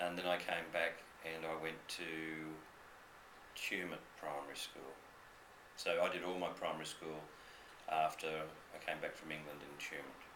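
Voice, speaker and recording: A man with an Australian accent speaks in a very deep, low pitch with monotone, flat intonation at a moderate pace. Long, frequent pauses break his speech, with audible room echo and noticeable background noise. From New South Wales, Australia. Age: 60s. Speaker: school principal. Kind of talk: interview with students. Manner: conversational with fillers.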